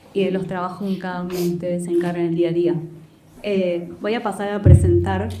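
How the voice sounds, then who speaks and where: A woman's fairly low voice at a fairly quick pace, with fairly even intonation, audible room echo and noticeable background noise. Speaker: moderator of a university panel. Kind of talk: panel discussion moderation. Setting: screening room with audience. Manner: hesitant, many fillers.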